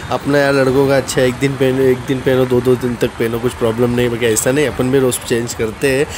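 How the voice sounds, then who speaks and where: Over noticeable background noise, a man with a medium pitch speaks at a moderate pace in a monotone, flat intonation with hardly any pauses. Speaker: food and travel vlogger. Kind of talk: casual vlog chat.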